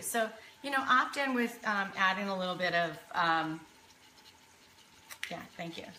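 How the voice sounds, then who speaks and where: A woman at a moderate pace with ordinary pitch variation, amid audible room echo and noticeable background noise. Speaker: cooking show host. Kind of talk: live cooking demonstration. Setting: home kitchen, live stream. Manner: casual, chatty.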